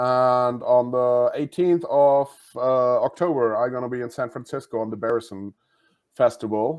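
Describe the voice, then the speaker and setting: A man with a German accent talks at a moderate pace. His intonation stays fairly even. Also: medium pitch for a man. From Germany. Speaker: comedian. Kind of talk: casual chat.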